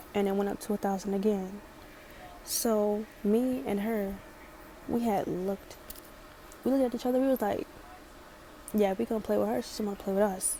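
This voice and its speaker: A woman with a slight Baltimore accent speaks at a medium pitch and a moderate pace. Her intonation is fairly even, broken by long, frequent pauses. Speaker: storytime vlogger. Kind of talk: storytime.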